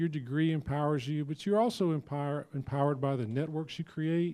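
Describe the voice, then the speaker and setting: A man with an American accent talks at a moderate pace, his fairly high-pitched voice dark and mellow in tone with fairly even intonation. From rural southern Georgia, US South. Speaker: university president. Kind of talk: panel presentation. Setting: luncheon event with audience.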